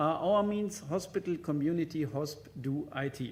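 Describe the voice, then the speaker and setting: With audible room echo, a man in a German accent speaks at a fairly slow pace with lively intonation. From German-speaking Europe. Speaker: hospital IT executive, conference speaker. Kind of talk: conference presentation. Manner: halting, with many fillers.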